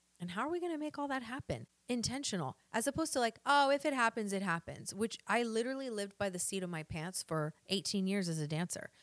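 In an American accent, a woman talks very fast in an animated tone, her fairly high voice making very wide pitch swings, with a dry, close sound and no echo. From US South, Arkansas. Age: 40s. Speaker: podcast host and online health coach. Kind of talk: motivational monologue.

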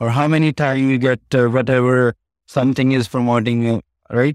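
A man's medium-pitched voice with a Punjabi accent at a moderate pace, dry and close with no echo, on a very clean recording with a silent background. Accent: Indian (Punjabi) English. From India (Punjab). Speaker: real estate team leader. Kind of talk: interview. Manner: halting.

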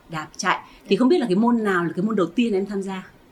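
A woman speaks at medium pitch. Noticeable background noise is present. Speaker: podcast host. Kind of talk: casual interview. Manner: halting.

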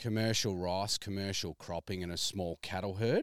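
Fairly low in pitch, a man speaks with an Australian accent and ordinary pitch variation. The recording is very clean, with a silent background and a dry, close sound with no echo. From Melbourne, Australia. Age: 30s. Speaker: farmer. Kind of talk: casual chat. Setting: outdoors.

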